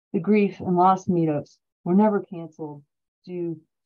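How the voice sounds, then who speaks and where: With an American accent, a woman speaks at a moderate pace. Her pitch varies in an ordinary way. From Ohio, Cleveland; Ohio. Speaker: poet and college professor; poet, college professor. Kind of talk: poetry reading. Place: home room. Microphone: webcam.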